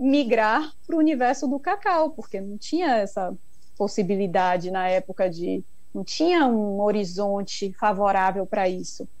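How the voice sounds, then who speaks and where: Woman at medium pitch with lively intonation and audible room echo. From Brazil, Bahia (Ilhéus). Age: 40s. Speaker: chocolate maker. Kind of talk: interview.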